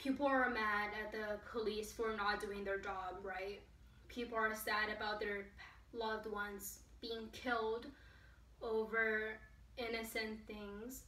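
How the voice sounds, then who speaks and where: Over audible room echo, a woman talks at a very slow pace in a fairly high pitch, her intonation monotone and flat. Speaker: vlogger. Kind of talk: casual talk to camera. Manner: hesitant, stuttering. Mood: earnest, emotional. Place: home room. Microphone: camera far.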